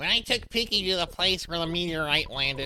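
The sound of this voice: Someone performs a put-on character voice at a middle pitch and a fairly quick pace. Clear background noise runs behind it.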